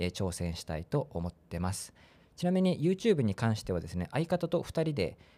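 Dark, mellow tone with very wide pitch swings at a fairly quick pace, on a very clean recording with a silent background. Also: man. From Chiba, eastern Japan. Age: 30s. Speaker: podcaster. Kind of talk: casual solo podcast talk. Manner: casual, with many fillers.

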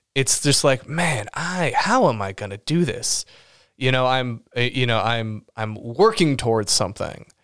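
In a very clean recording with a silent background, a man speaks at a fairly slow pace and medium pitch with lively intonation. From Los Angeles. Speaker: writer and podcast co-host. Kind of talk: casual chat. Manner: animated, laughs often.

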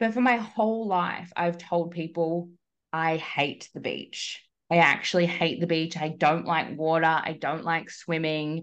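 Over a quiet background, a woman with an Australian accent speaks fairly slowly in a fairly low voice. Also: ordinary pitch variation. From Australia, Melbourne. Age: 30s. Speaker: coach. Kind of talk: casual chat. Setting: video call.

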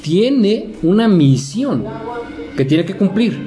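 A man with a Mexican accent speaks at a very slow pace with lively intonation. Audible room echo and noticeable background noise surround him. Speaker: podcast co-host. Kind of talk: casual chat.

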